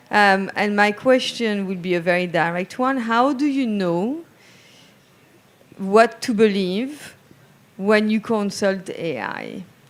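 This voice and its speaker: A woman speaks at a medium pitch and a fairly slow pace. Her pitch variation is ordinary. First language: not English. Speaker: panelist. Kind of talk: panel discussion.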